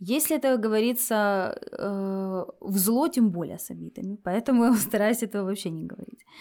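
At a moderate pace and with hardly any pauses, a woman speaks with a fairly high pitch, ordinary pitch variation and a dark, mellow tone. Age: 30s. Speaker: lawyer, podcast guest. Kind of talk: personal consultation and role-play.

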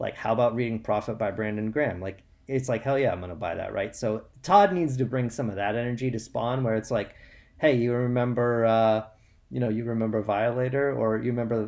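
An unremarkable speaking voice from a man at medium pitch with fairly even intonation. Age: 30s. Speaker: political cartoonist. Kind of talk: casual chat.

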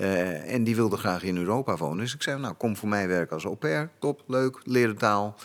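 In a very clean recording with a silent background, a man talks with a plain, everyday voice, fairly low in pitch, with lively intonation and hardly any pauses. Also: moderate pace. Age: 50s. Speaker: actor turned firefighter and instructor. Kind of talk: casual chat.

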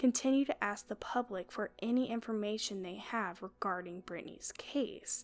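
At a moderate pace, a woman speaks in an ordinary speaking voice of medium pitch. The recording is very clean with a silent background, and her pitch variation is ordinary. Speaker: true crime podcast host. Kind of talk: true-crime narration, scripted-sounding storytelling. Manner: grave, measured, solemn; steady, earnest.

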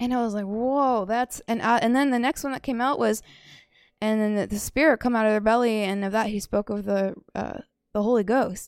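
A woman speaks at a fairly quick pace in a fairly high, animated voice, recorded very cleanly against a silent background. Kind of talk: religious teaching. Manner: animated, laughs often.

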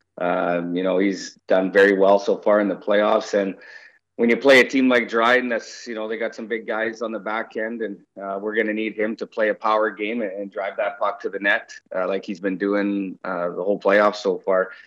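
Over a quiet background, a man with a western Canadian accent talks at a moderate pace in a fairly low pitch, his intonation monotone and flat. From Canada, Victoria BC (Vancouver Island). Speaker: junior hockey coach. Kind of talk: interview.

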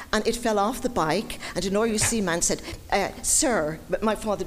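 The speaker is a woman with a Dublin accent. Her intonation is lively. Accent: Dublin Irish. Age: 70s. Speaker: audience member. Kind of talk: personal anecdote. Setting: stage with audience.

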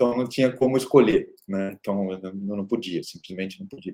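Medium in pitch with ordinary pitch variation, a man speaks in a dark, mellow tone. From Brazil, interior of São Paulo state (Araraquara). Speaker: tech company founder and CEO. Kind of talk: interview. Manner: hesitant with frequent repetitions.

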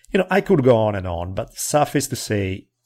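On a very clean recording with a silent background, a man speaks at a fairly low pitch with an Italian accent. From Italy. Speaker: history podcaster. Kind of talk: casual chat.

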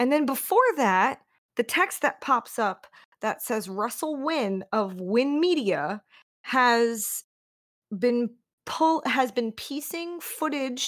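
A woman speaks in a high voice at a very slow pace. Her pitch swings very widely. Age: 30s. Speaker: horror podcast co-host. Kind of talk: casual chat.

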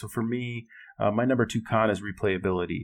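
A man with an American accent talks at a moderate pace and medium pitch. It is an ordinary speaking voice. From Minnesota, Twin Cities. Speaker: board game enthusiast. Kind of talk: casual chat.

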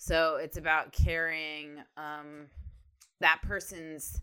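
Her voice has a bright, sharp tone and a very deep, low pitch for a woman. She speaks at a very slow pace on a very clean recording with a silent background. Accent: American. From Ohio. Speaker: co-host of animation podcast, TV show creator. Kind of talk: casual chat. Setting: studio.

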